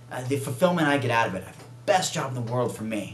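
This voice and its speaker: A man of medium pitch speaks at a very fast pace. Noticeable background noise and audible room echo fill the recording. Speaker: vegan bodybuilder and video show host. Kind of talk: casual vlog monologue. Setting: self-recorded video. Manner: animated.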